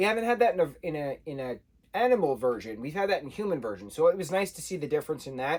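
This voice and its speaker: With lively intonation and an American accent, a man talks at a very fast pace. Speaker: book reviewer. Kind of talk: casual review monologue.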